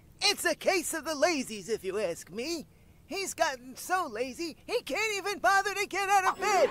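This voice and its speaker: An extremely high-pitched cartoonish character voice speaks at a moderate pace. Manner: folksy, jolly.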